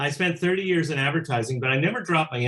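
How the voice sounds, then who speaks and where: With an American accent and ordinary pitch variation, a man speaks over noticeable background noise. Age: 70s. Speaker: musician and record producer. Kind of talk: interview. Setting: home studio. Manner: halting, repeats words.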